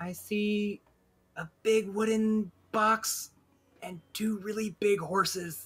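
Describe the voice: In a put-on character voice with a fairly high pitch, the delivery crawls at a very slow pace, broken by long, frequent pauses.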